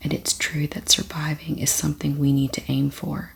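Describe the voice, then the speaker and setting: A soft-spoken, gentle tone at a moderate pace. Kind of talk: ASMR soft-spoken book reading.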